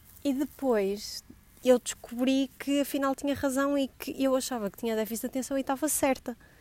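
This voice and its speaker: With a dark, mellow tone and high pitch, a woman speaks at a moderate pace with fairly even intonation, the sound dry and close with no echo. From northern Portugal, Gaia. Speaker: podcast host. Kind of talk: casual solo monologue. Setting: outdoors in building garden. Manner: scattered, hesitant.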